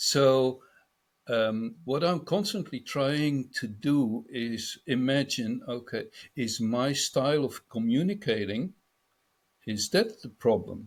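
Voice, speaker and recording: A man's medium-pitched voice in a Dutch accent, with lively intonation at a very slow pace, on a very clean recording with a silent background. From Netherlands. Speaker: business speaker on a panel. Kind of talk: panel discussion.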